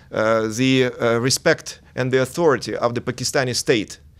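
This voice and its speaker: A man with a Russian accent and a medium-pitched voice. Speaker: diplomat. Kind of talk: TV interview. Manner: halting, many hesitations.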